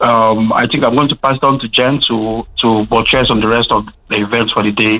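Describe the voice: The pitch moves very little. The pace is moderate. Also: man, medium pitch for a man.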